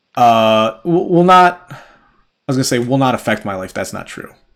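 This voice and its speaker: Speaking at a moderate pace and medium pitch, a man leaves long, frequent pauses while his loudness swings widely. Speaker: podcast host. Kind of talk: casual chat. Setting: livestream. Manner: halting.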